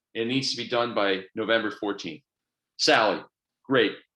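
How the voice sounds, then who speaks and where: An energetic man's voice with a bright, sharp tone. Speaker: business coach. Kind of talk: online coaching presentation. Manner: fast.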